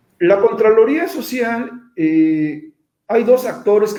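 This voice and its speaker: A man speaks with lively intonation. Audible room echo is present. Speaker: invited speaker on social oversight of public works. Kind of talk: online lecture with slides. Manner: repetitive, halting restarts.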